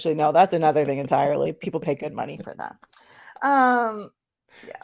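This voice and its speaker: Her very deep, low pitch moves with lively intonation as this woman's loudness swings widely. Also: fairly quick pace. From Canada. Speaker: streamer.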